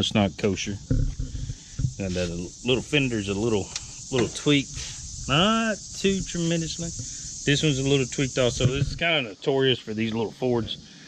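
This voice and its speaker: Over noticeable background noise, a man talks at a fairly quick pace, the sound dry with no echo. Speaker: tractor owner. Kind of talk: casual vlog chat. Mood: relaxed, joking. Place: open country. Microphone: phone near.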